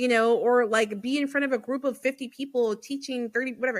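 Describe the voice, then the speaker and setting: A woman talks loudly at a fairly quick pace. Her tone is animated. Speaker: podcast host. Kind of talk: casual chat. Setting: podcast interview.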